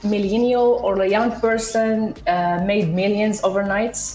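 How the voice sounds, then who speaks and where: A woman's fairly high voice, with audible room echo and noticeable background noise. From Morocco. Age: 30s. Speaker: entrepreneur. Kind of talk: interview.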